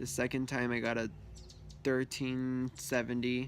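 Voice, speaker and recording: A man speaks at a medium pitch. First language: Spanish. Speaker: student vlogger. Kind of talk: casual vlog monologue. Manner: hesitant with many fillers.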